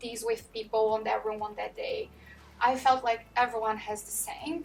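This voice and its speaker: The delivery moves at a moderate speed. A non-native accent comes through. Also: woman. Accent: foreign. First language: not English. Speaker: manager. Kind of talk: interview.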